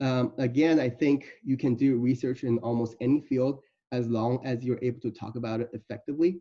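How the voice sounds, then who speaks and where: A man speaks with a non-native accent. His tone is dark and mellow. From Iowa City, Iowa, US. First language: not English. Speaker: medical student. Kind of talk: presentation. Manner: halting.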